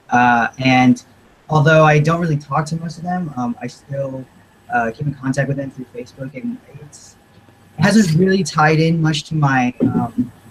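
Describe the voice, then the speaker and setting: This man has an unremarkable speaking voice, fairly high in pitch, with ordinary pitch variation, a moderate pace and big swings in loudness. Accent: American. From Houston, Texas. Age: 20s. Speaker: panelist. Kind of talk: panel discussion.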